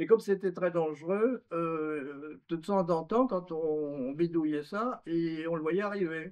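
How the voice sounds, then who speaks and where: A man's fairly high voice at a very slow pace. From France. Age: 90s. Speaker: former navy mine-clearance diver. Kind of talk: testimony. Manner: hesitant with fillers.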